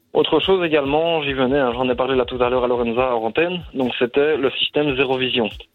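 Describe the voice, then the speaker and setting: With music in the background, the speaker moves at a fairly quick pace, with hardly any pauses and fairly even intonation. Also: man, medium pitch for a man. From Brussels, Belgium. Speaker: caller, bike shop owner. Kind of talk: phone call, explaining. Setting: phone call.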